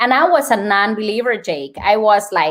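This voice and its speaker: A woman with a Colombian accent, fairly high pitch, lively intonation and a moderate pace. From Colombia, Bogota. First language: Spanish. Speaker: nurse and wellness speaker. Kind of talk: podcast interview.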